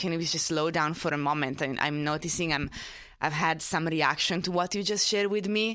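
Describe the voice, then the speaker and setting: A woman with an Italian accent, fairly low in pitch, at a moderate pace, with fairly even intonation, on a very clean recording with a silent background. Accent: noticeable Italian. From Italy. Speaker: panelist. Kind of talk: live panel discussion.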